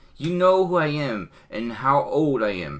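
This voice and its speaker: A man puts on a character voice, pitched fairly high. He hisses his words at a fairly slow pace. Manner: hissing, menacing.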